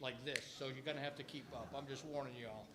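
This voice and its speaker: Audible room echo around a fairly high male voice. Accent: New York. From New York. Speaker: retired Air Force pilot and parent. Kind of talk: retreat talk to students. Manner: fast.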